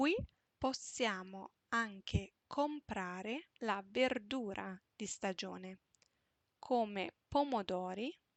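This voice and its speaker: Speaking very slowly, a woman uses lively intonation at a medium pitch. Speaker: Italian teacher. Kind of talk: reading aloud.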